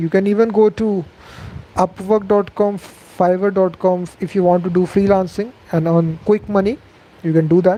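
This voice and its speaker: With an Indian accent, a man speaks at a high pitch and a moderate pace, keeping his intonation fairly even. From India, Delhi. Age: 20s. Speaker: programming youtuber. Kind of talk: live Q&A stream. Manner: casual with fillers.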